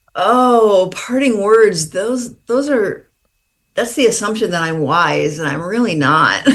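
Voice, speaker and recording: A woman with an American accent at a very slow pace, with audible room echo. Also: medium pitch for a woman. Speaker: author. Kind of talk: interview.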